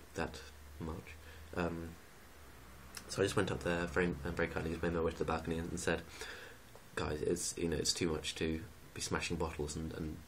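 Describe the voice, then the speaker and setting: Someone with an English accent speaks quietly in a monotone, flat intonation, leaving long, frequent pauses amid audible room echo. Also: man, very deep, low pitch for a man. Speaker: student vlogger. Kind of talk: casual vlog rant. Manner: quiet, kept low.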